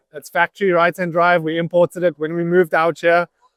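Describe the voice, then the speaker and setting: At a fairly quick pace, a man with a South African accent speaks in a high pitch, with a dry, close sound and no echo. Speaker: professional drift driver. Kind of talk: interview.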